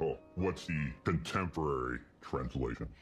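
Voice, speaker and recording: Over clear music in the background, a man puts on a growling character voice with a very deep, low pitch at a moderate pace. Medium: solo performance. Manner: calm, conversational.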